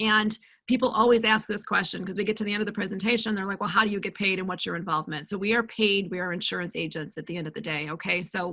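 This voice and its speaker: A woman's very fast, bright, sharp voice at medium pitch with fairly even intonation. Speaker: Medicare insurance agent and agency owner. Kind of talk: webinar presentation. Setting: video call webinar.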